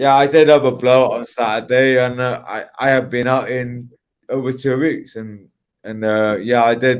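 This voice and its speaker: Man at a medium pitch and moderate pace, on a very clean recording with a silent background. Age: 30s. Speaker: livestream participant. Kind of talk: casual chat. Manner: halting.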